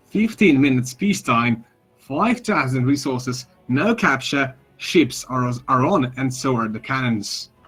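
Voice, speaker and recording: Backed by music in the background, a man speaks fairly slowly with lively intonation. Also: medium pitch for a man. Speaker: gaming streamer. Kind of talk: live game commentary. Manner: talks nearly non-stop.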